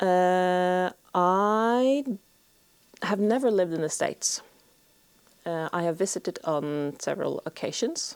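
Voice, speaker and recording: Long, frequent pauses break up a woman's fairly slow speech. Her intonation is lively. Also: medium pitch for a woman. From Norway. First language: Norwegian. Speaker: homesteader and video blogger. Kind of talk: Q&A monologue to camera. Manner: hesitant, many fillers.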